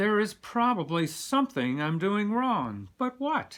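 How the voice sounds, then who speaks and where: A man puts on a character voice, pitched high. He talks at a fairly slow pace. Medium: read story. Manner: eager.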